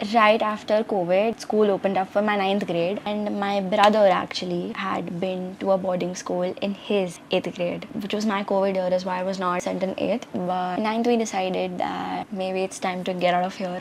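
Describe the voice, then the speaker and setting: A woman's medium-pitched voice in a flat monotone at a moderate pace with hardly any pauses, over noticeable background noise. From India, Gujarat. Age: 19. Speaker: student vlogger. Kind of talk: casual vlog talk.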